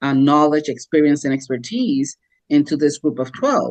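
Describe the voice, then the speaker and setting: The speaker talks at a fairly slow pace. The words come in a Puerto Rican accent. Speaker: podcast co-host, business coach. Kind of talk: casual podcast discussion. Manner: many filler words and hesitations.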